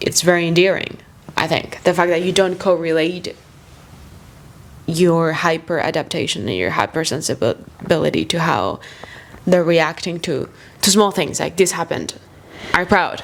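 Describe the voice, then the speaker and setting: A woman with a fairly low voice and a non-native accent speaks at a moderate pace. Her speech has long, frequent pauses. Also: fairly even intonation. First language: not English. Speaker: podcast guest. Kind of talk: casual chat.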